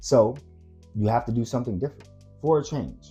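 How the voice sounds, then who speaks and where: Someone with an American accent talks at a very fast pace. Music plays in the background. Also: man. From Washington DC area. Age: 30s. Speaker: filmmaker. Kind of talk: motivational talk to camera.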